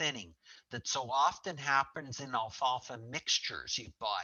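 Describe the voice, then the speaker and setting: At a moderate pace, a man with a fairly high pitch speaks in an unremarkable speaking voice. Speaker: forage specialist. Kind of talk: webinar presentation. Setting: online webinar call.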